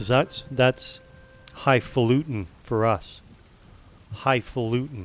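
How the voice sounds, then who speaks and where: A man with a Western Canadian accent speaks at a very slow pace, with ordinary pitch variation and long, frequent pauses. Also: medium pitch for a man. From West Coast Canada. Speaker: game streamer. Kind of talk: casual chat.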